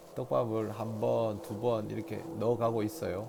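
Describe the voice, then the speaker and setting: A man with a Daegu accent, music in the background and audible room echo. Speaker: fishing instructor. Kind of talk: instructional commentary.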